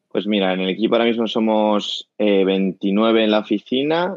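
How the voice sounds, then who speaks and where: Intonation stays fairly even in an unremarkable speaking voice. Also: man. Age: 20s. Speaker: company co-founder. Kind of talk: casual interview. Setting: remote call from home.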